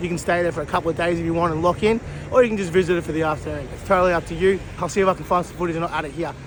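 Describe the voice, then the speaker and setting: A man with an Australian accent speaks at a very fast pace in a high pitch. His intonation stays fairly even against noticeable background noise. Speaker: vlogger. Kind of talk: casual vlog narration. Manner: casual, sweary.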